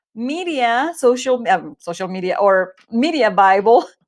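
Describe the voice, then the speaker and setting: The surroundings are quiet. A woman talks very slowly, her intonation lively. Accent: Spanish. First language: Spanish. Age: 40s. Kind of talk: Bible study talk. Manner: hesitant, many fillers.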